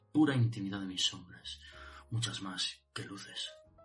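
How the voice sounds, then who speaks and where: Speaking at a fairly quick pace, a man uses an intense, passionate tone with ordinary pitch variation. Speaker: slam poet performing. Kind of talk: slam poetry performance, dense verse. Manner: intense, passionate, dramatic delivery.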